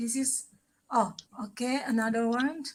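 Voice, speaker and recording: A woman with an Indonesian accent speaks at a high pitch with fairly even intonation. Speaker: travel show host. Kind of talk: live stream interview.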